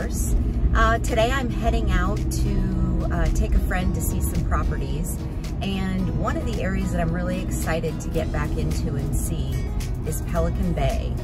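With loud background music, a woman talks at a moderate speed. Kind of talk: casual vlog chat. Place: car. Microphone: phone near.

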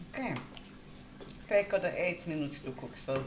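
A woman talks at a moderate pace. Noticeable background noise runs beneath her voice. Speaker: home cook. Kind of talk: cooking tutorial. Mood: warm, chatty. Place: kitchen. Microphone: camera far.

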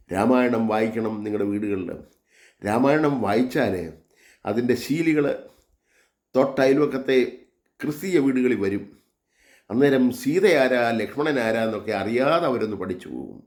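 Room echo is audible around a man's voice. His pitch is medium, with ordinary variation. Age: 70s. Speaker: religious vlogger. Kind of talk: monologue sermon.

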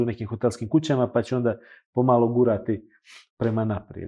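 A man talking at a very fast pace against a quiet background. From Montenegro, Kotor; Montenegro. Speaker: luxury hotel consultant; guest. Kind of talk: casual interview chat. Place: studio.

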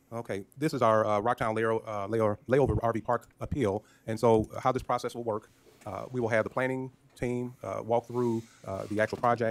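This is a man speaking. His intonation is monotone and flat. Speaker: county judge chairing meeting. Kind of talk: meeting chairing. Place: meeting room. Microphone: podium.

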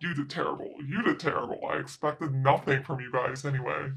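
A man's put-on character voice, fairly high-pitched and fairly quick. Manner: scolding, dismissive.

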